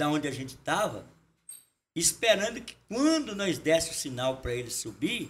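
Very wide pitch swings from a man speaking at a moderate pace. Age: 60s. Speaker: folk music group leader. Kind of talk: casual chat.

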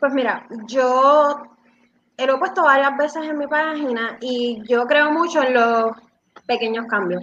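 Her pitch high, a woman speaks at a fairly slow pace with ordinary pitch variation. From Puerto Rico (Bayamón, Dorado). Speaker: CrossFit coach. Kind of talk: live-stream interview.

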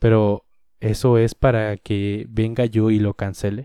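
A man's dark, mellow, fairly low voice in a Mexican accent, monotone and flat, dry and close with no echo, on a very clean recording with a silent background. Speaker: podcaster. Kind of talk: solo opinion monologue. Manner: casual.

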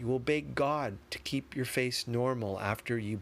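An unforced reading voice, pitch rising and falling in an ordinary way

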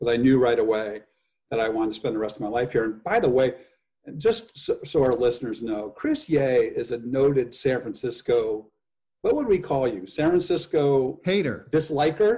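A man speaks at a medium pitch with lively intonation. His tone is dark and mellow, and somewhat breathy. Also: moderate pace. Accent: American. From US Midwest (Indiana). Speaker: podcast guest. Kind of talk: casual interview chat.

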